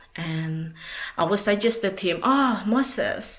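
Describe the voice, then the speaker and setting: A woman speaks at a very slow pace. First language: Indonesian. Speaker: language teacher. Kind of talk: personal tribute. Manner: halting.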